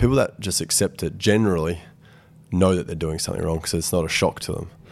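A man with an Australian accent talks at a very fast pace in a very deep, low pitch with ordinary pitch variation. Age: 20s. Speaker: football team captain. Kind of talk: interview. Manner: hesitant, many fillers.

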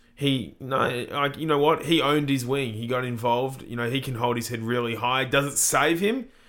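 With an Australian accent, a man speaks at a medium pitch and a moderate pace, with hardly any pauses and fairly even intonation. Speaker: podcast co-host. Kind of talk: casual sports podcast analysis.

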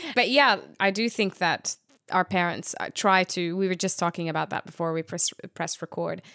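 A woman speaks at a medium pitch and a moderate pace, her tone bright and sharp, with ordinary pitch variation. The sound is dry and close with no echo, on a very clean recording with a silent background. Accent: Arabic. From Jordan. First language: Arabic. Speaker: podcast co-host. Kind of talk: casual chat. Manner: animated.

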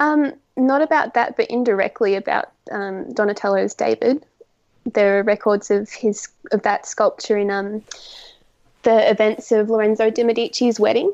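A woman with an Australian accent, fairly high in pitch, with ordinary pitch variation. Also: moderate pace. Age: 20s; young. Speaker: art student. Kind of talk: casual interview.

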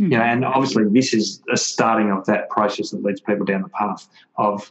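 A man talks with an Australian accent. His pace is moderate. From Melbourne, Australia. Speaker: author and wellness speaker, former footballer. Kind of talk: interview, conversational. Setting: remote call.

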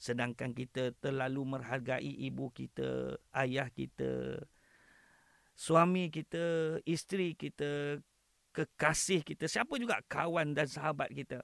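A man speaks at a very slow pace. The sound is dry and close with no echo, in a very clean recording with a silent background. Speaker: imam. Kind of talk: religious talk.

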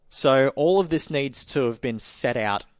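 A man with an Australian accent speaks at a medium pitch with lively intonation, the sound dry and close with no echo against a quiet background. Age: 30s. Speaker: motorsport journalist. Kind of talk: casual chat.

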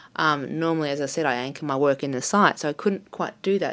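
This woman speaks with an Australian accent at a very deep, low pitch. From Australia, Melbourne. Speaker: artist. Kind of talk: interview. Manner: halting, many fillers.

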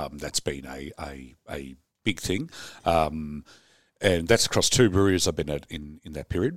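Very deep and low, a man's voice with an Australian accent comes at a moderate pace and carries vocal fry. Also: big swings in loudness. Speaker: brewer. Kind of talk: casual chat. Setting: studio.

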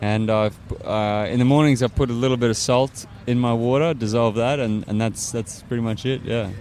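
A man with an Australian accent talks at a medium pitch over noticeable background noise. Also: fairly even intonation, moderate pace. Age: 30s. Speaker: climate activist and engineer. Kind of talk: interview. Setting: outdoors.

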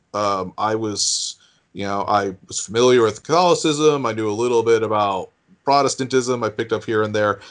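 A man with an American accent speaks in an ordinary speaking voice at medium pitch, with ordinary pitch variation at a moderate pace against a quiet background. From US New England. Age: 40s. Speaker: news digest writer. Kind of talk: interview.

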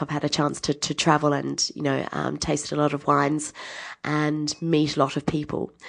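Against a quiet background, a woman with an Australian accent speaks in a very deep, low pitch with vocal fry. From Adelaide, South Australia. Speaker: winemaker. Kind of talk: interview.

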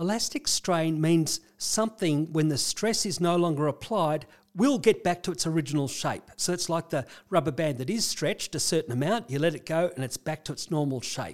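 A man's fairly high voice with an Australian accent, at a moderate pace with ordinary pitch variation. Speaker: clinical psychologist. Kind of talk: casual conversational explanation.

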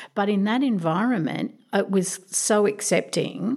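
Ordinary pitch variation from a woman with an Australian accent. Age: 50s. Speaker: domestic violence advocate. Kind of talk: interview.

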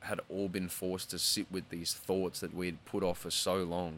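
Very deep and low in pitch yet bright and sharp in tone, a man speaks at a moderate pace on a very clean recording with a silent background. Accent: Australian. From Australia. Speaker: singer. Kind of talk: casual chat. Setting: studio.

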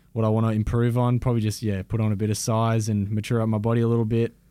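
A man talks at a fairly quick pace with an Australian accent. His tone is dark and mellow. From Shepparton, Victoria. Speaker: footballer. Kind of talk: casual chat.

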